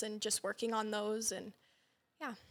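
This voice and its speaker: A woman's fairly high pitch with an American accent. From Sheridan area, Wyoming / southern Montana ranch. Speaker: rodeo queen and student. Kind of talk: interview.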